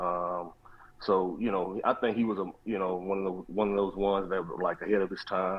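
A man with a very deep, low pitch speaks at a fairly quick pace. His intonation is monotone and flat. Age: 40s. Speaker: former college football receiver. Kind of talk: interview. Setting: phone call.

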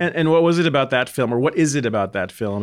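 A man with ordinary pitch variation. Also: very clean recording, silent background. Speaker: podcast host. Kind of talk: interview. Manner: hesitant, many fillers.

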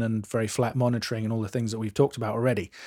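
A man speaks very fast with a British accent, at medium pitch, in a dark, mellow tone and a monotone, flat intonation. The recording is very clean, with a silent background. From England. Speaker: mastering engineer and podcast co-host. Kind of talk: casual chat.

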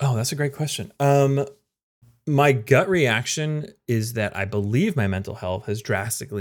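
The recording is very clean, with a silent background. An unremarkable speaking voice keeps a moderate pace, its intonation lively. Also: man. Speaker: former EMT. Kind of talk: casual interview chat.

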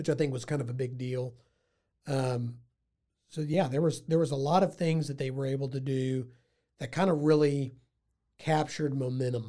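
A man with an American accent and a fairly high pitch speaks in a dark, mellow, somewhat breathy tone with fairly even intonation and long, frequent pauses. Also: moderate pace. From Texas, Waco. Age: 30s. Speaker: lawyer and local historian. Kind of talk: casual interview.

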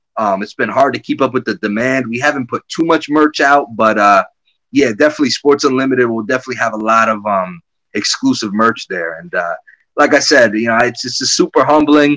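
At a fairly quick pace, a man with an American accent speaks at a medium pitch with ordinary pitch variation, the sound dry and close with no echo. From Connecticut. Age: 30s. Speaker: former hockey general manager. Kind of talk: interview. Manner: halting.

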